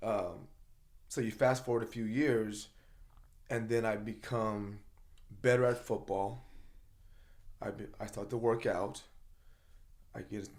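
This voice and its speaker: A man's fairly slow, medium-pitched speech with fairly even intonation and long, frequent pauses. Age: 50s. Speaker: motivational speaker and coach. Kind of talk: casual chat. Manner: passionate, loud.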